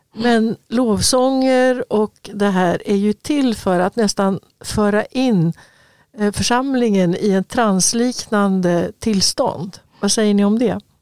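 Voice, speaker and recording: A woman with a fairly high pitch talks at a very slow pace, with ordinary pitch variation and very even loudness, on a very clean recording with a silent background. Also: dry, close sound with no echo. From Sweden. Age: 70s. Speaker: podcast co-host. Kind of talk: casual chat.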